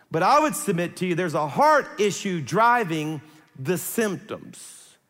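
High-pitched male voice in a Louisiana accent, with audible room echo. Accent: Southern US (Louisiana). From South Louisiana. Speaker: pastor. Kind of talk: sermon.

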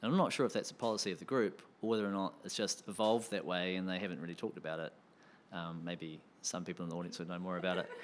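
A very fast pace with fairly even intonation. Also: man, very deep, low pitch for a man. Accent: New Zealand. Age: 40s. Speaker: improviser. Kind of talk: panel discussion. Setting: stage with audience.

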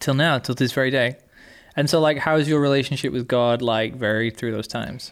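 In an English accent, a man speaks fairly quickly at a medium pitch with fairly even intonation, on a very clean recording with a silent background. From England. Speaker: podcast co-host. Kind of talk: casual chat.

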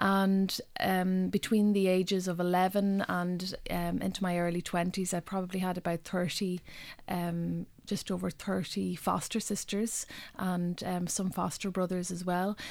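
On a very clean recording with a silent background, a woman at medium pitch speaks at a fairly slow pace in a Donegal accent, her intonation monotone and flat. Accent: Donegal Irish. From Ireland, northwest Donegal. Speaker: poet. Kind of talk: interview. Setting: radio studio. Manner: halting.

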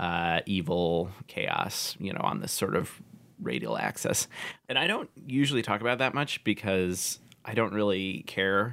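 A man with an American accent, a fairly low pitch, a bright, sharp tone, vocal fry and lively intonation is heard in a very clean recording with a silent background. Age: 20s. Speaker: urban planner. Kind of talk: casual chat.

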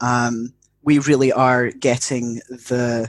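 A man's voice in a monotone, flat intonation. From UK. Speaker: educator and mental health worker. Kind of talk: casual chat.

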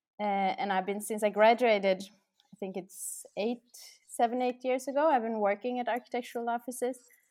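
A woman with a fairly high pitch and fairly even intonation at a fairly quick pace, in a very clean recording with a silent background. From Norway. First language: Norwegian. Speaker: architect. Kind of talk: interview. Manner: hesitant, many fillers.

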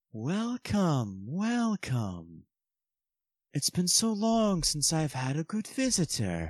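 A man uses a sinister put-on character voice at a fairly high pitch, very slow and with very wide pitch swings, in a very clean recording with a silent background. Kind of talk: horror villain. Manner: sinister, mocking, gleeful.

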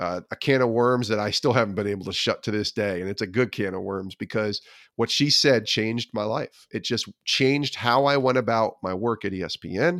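An American-accented man with a normal speaking voice, medium pitch, ordinary pitch variation and a moderate pace, in a dry, close sound with no echo, over a very clean recording and a silent background. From upstate New York (Albany area). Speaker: former sports TV producer, faith-and-sports author. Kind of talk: interview conversation.

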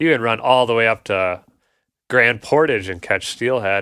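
On a very clean recording with a silent background, a man with an Upper Midwest accent speaks at a moderate pace in a fairly low pitch, with a bright, sharp tone and ordinary pitch variation. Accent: Upper Midwest (Minnesota). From Minnesota, north Twin Cities suburbs. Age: 30s. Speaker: angler. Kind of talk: casual chat.

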